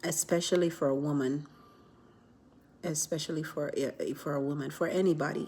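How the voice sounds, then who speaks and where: A soft-spoken woman with a very deep, low voice, a flat monotone, a fairly quick pace and long, frequent pauses. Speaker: vlogger. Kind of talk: casual vlog chat. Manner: soft-spoken, keeping voice low; rambling, many fillers.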